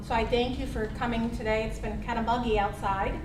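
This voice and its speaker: The voice moves at a moderate pace. Audible room echo and noticeable background noise come through. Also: woman. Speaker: healthcare advocate trainer and forum moderator. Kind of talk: public forum presentation. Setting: meeting room with audience and microphones. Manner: loud.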